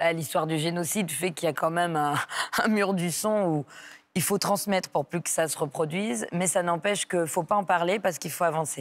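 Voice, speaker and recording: Her pitch is fairly low, with ordinary pitch variation. The woman keeps a fairly quick pace. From southern France, near Aix-en-Provence; France. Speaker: comedian; comedian guest. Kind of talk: radio interview. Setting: radio studio, live morning show. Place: studio. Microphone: lapel.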